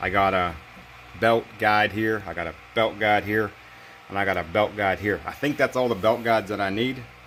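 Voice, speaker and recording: A fairly quick, fairly low-pitched male voice with ordinary pitch variation, over noticeable background noise. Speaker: DIY mechanic YouTuber. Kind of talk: casual workshop tutorial. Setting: home garage. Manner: fast.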